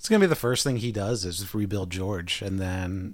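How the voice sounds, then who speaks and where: A man speaks in a plain, everyday voice at a moderate pace. His pitch is fairly low, with fairly even intonation. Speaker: podcast co-host. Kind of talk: casual chat.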